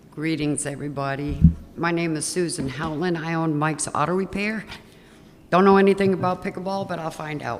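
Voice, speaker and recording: The speech comes at a fairly quick pace with fairly even intonation, amid audible room echo and noticeable background noise. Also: woman, fairly low pitch for a woman. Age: 60s. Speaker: auto repair shop owner, public commenter. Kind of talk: public comment at council meeting.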